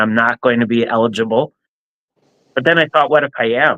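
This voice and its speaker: A man with an American accent, bright and sharp in tone, dry and close with no echo. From New Jersey, central (Middlesex). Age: 60s. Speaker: nonprofit leader and kidney donor. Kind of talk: interview testimony. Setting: live stream.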